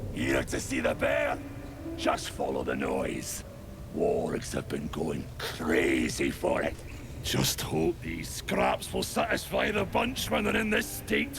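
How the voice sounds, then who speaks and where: A put-on character voice at a fairly slow pace under loud background noise. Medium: machinima.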